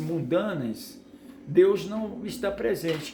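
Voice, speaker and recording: Very slow speech with very wide pitch swings comes through audible room echo and noticeable background noise. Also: man. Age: 60s. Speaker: preacher. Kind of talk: sermon. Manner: halting, with repetitions.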